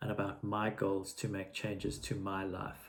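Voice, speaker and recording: A man's somewhat breathy voice at a fairly low pitch. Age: 60s. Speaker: vlogger. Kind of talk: personal video diary. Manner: halting, with fillers and repetitions.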